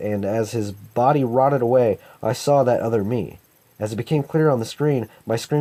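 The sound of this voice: The clip has an unforced reading voice with ordinary pitch variation.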